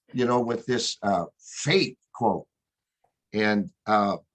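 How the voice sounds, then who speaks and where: A man's voice with a dry, close sound and no echo. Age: 60s. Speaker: book reader sharing feedback. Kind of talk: casual chat. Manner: halting, many repeated words.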